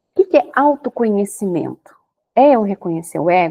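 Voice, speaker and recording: The sound is dry and close with no echo as a woman speaks at medium pitch with a dark, mellow tone and lively intonation. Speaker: holistic therapist, podcast host. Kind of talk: podcast monologue. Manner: slow.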